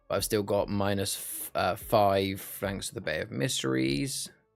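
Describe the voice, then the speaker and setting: A man at a fairly slow pace with music in the background. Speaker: live streamer hosting charity card game stream. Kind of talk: casual gameplay chat on live stream.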